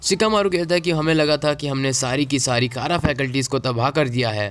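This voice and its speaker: At a moderate pace, a man with a fairly high pitch speaks with ordinary pitch variation over noticeable background noise. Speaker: anime youtuber. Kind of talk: episode recap narration. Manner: casual Hinglish code-switching.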